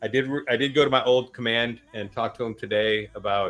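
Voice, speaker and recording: Fairly even intonation and a fairly quick pace in a plain, everyday voice. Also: man. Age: 50s. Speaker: live-stream host, army veteran. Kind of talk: casual panel chat.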